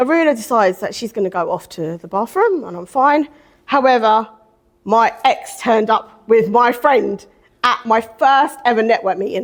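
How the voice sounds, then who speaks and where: A loud woman's voice, fairly high in pitch, with lively intonation, an animated tone and a moderate pace. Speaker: divorce coach and mentor. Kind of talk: personal testimony at event.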